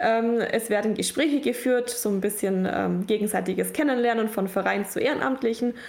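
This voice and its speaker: Over noticeable background noise, a woman with a fairly high pitch speaks with hardly any pauses, very even loudness and ordinary pitch variation. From Allgäu, Bavaria, Germany. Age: 20s. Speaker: prison outreach volunteer. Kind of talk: podcast interview.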